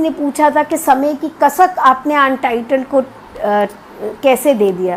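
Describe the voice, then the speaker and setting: A woman's high voice with ordinary pitch variation, over noticeable background noise. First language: Punjabi (speaking Hindi). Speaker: academic and literary translator. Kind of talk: lecture. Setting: live video stream. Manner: hesitant fillers.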